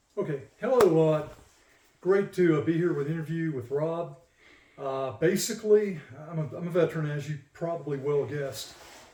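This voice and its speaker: With an American accent, a man talks at a moderate pace in an unremarkable speaking voice, fairly high in pitch with ordinary pitch variation. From southern USA. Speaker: retired Air Force sergeant and veteran. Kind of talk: casual interview answers recounting life and family history.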